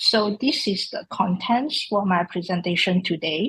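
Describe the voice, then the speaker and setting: Lively intonation in a woman's somewhat breathy voice. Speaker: traditional Chinese medicine lecturer. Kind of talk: conference presentation.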